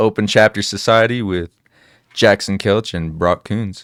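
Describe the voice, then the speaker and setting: At a fairly slow pace and fairly low pitch, a man speaks with fairly even intonation, recorded very cleanly against a silent background with a dry, close sound and no echo. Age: 20s. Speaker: IT programmer, podcast guest. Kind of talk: casual chat. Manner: loud; passionate.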